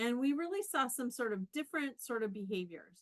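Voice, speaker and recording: With a Canadian accent, a woman speaks at a fairly quick pace in a high pitch with very wide swings, the sound dry and close with no echo. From Canada. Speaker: professor. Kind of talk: conference talk.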